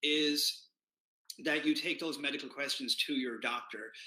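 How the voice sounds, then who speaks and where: A man speaks with an Irish accent at a moderate pace. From Ireland. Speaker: keto community founder. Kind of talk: live stream talk. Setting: Facebook Live. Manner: casual, many fillers.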